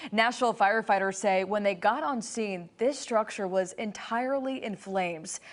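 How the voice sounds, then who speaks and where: The speaker, a woman, has an unremarkable speaking voice pitched in the middle range. Her delivery is moderately paced, and her pitch varies in an ordinary way. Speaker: news anchor. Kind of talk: television news anchor delivery.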